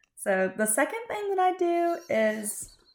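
Speaking with a Florida accent and lively intonation, a woman is heard on a very clean recording against a silent background. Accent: US Southern (Florida ranch country). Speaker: podcast co-host, cattle industry worker. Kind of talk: casual interview, telling her life story.

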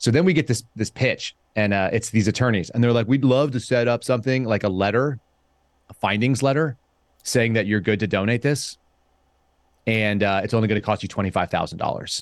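Here is a man with an ordinary speaking voice at medium pitch and a fairly quick pace. His pitch varies in an ordinary way, and the background is quiet. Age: 40s. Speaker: podcast guest. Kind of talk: casual chat.

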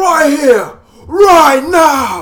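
The speaker puts on a character voice. It is high-pitched and gruff. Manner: aggressive, challenging.

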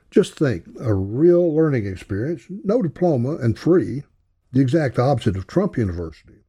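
A somewhat breathy, dark, mellow voice with a Southern US accent and very wide pitch swings, on a very clean recording with a silent background. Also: man, medium pitch for a man. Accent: Southern US drawl. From US South. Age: 80s. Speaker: podcaster. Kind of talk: personal storytelling monologue. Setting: home recording alone at a mic.

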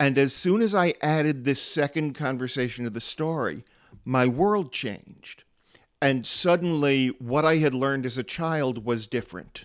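In an American accent, the speaker has a normal speaking voice with ordinary pitch variation at a moderate pace. The recording is very clean, with a silent background. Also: man, fairly high pitch for a man. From US, small town. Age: 50s. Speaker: storyteller and humorist. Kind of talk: interview.

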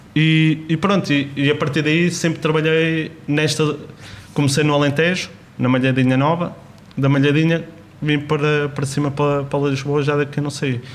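Keeping a very even loudness, a man with a fairly high pitch speaks at a moderate pace in a monotone, flat intonation. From Portugal, Beira Interior (Covilhã area). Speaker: chef and cooking teacher. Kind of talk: interview. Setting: in a restaurant, wearing a mask.

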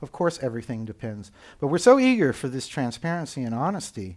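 In an American accent, a man with an unremarkable speaking voice and a fairly high pitch talks at a fairly quick pace on a very clean recording with a silent background. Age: 60s. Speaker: UX consultant and author. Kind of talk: casual interview conversation.

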